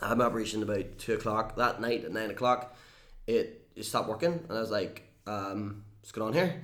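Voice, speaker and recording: Fairly quick speech in a room with audible echo, with ordinary pitch variation and big swings in loudness. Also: man, medium pitch for a man. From Northern Ireland. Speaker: YouTuber and entertainer. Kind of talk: casual interview chat.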